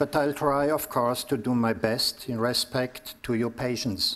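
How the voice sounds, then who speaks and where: A man speaks with a German accent at a medium pitch. His pace is fairly slow and his pitch varies in an ordinary way. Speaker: priest and psychotherapist giving a lecture. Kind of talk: lecture.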